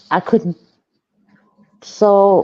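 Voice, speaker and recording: A woman speaks in a fairly high voice with a dark, mellow tone. Her intonation is flat and monotone, and the sound is dry and close with no echo. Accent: German. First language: German. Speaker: online wrestling roleplayer. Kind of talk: casual chat.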